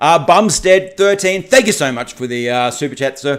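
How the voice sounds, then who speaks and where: In an Australian accent, a man talks at a moderate pace. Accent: Australian, asked about by a viewer. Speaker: political commentary YouTuber. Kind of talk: livestream chat. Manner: animated; halting, many repetitions and fillers.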